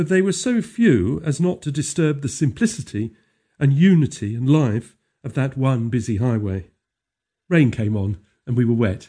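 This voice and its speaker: Somewhat breathy speech at a moderate pace, with very wide pitch swings. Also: man, medium pitch for a man. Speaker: audiobook narrator. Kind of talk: poetry reading, audiobook narration. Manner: measured, lyrical, gently expressive.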